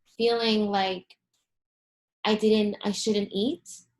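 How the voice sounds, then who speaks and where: A woman's medium-pitched voice at a fairly slow pace, with a Spanish accent. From South America (childhood), then US from age eleven. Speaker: holistic health coach. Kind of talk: interview testimony. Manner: many fillers, casual.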